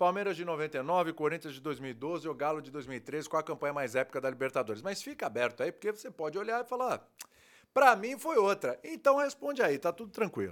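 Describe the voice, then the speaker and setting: On a very clean recording with a silent background, a man talks at a fairly quick pace with big swings in loudness and very wide pitch swings. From Brazil, Santos (São Paulo state). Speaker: sports TV host. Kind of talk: casual chat.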